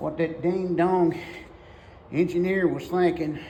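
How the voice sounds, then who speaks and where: Against noticeable background noise, a man speaks at a high pitch in a monotone, flat way. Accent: Southern US. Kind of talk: casual talk to camera. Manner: folksy, rambling.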